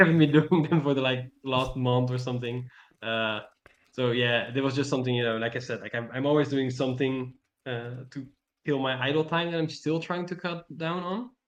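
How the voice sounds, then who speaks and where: This man has a non-native accent and a medium pitch. He keeps a moderate pace with ordinary pitch variation. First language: not English. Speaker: mentee. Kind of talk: mentoring session chat. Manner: halting, many fillers.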